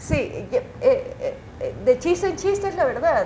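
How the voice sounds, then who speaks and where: Noticeable background noise behind a woman speaking at a fairly slow pace. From Ecuador, Guayaquil. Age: 30s. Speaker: journalist and TV news anchor. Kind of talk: casual interview.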